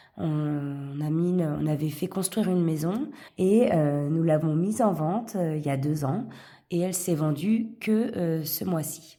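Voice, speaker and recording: With audible room echo, a woman speaks at a fairly low pitch and fairly slow pace, using ordinary pitch variation. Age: 40s. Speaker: vlogger, single parent. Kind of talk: casual chat, budgeting tutorial. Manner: hesitant, many fillers.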